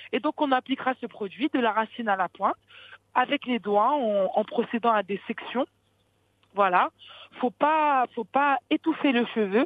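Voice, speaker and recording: A woman with a high pitch and ordinary pitch variation speaks at a fairly slow pace, leaving long, frequent pauses. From France, Paris region. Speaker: beauty entrepreneur. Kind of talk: interview. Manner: halting.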